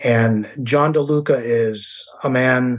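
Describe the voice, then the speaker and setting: At a medium pitch, a man has a normal speaking voice with ordinary pitch variation. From US West Coast, San Diego County. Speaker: author and historian. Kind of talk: interview.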